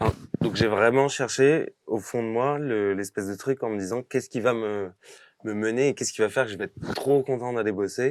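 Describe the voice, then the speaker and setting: On a very clean recording, silent background, a man speaks at a moderate pace with fairly even intonation. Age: 30s. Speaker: actor. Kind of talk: interview. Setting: podcast studio. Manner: hesitant, many fillers; casual.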